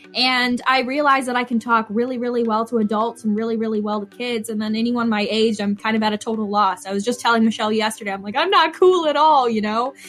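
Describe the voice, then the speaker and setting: A woman with a fairly high pitch talks at a very fast pace, with hardly any pauses and ordinary pitch variation, over noticeable background noise. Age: young. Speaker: podcast host and youth educator. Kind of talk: casual chat.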